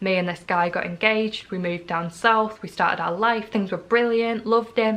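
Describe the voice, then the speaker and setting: With a North East England accent, a woman speaks fairly quickly in a bright, sharp tone and fairly even intonation. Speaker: vlogger. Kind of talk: personal testimony vlog.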